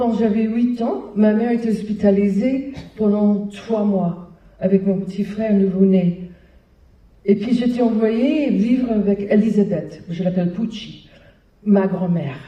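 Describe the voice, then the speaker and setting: In an American accent, a woman speaks very slowly at medium pitch, somewhat breathy, with ordinary pitch variation and audible room echo. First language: English (speaking French). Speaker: hospital clown founder, performer. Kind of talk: public talk. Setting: stage with audience. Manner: hesitant, with fillers.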